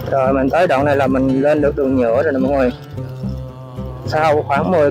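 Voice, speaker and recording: Music clearly plays behind a man speaking at a moderate pace. The sound is dry, with no echo. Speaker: travel vlogger riding a motorbike. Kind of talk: casual vlog chat. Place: motorbike. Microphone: helmet.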